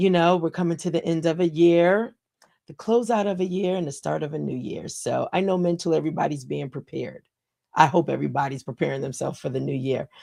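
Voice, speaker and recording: A woman speaks at a very fast pace with vocal fry. Her tone is dark and mellow, with ordinary pitch variation. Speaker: livestream talk show host. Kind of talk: casual motivational livestream talk. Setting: live stream. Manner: conversational, with fillers.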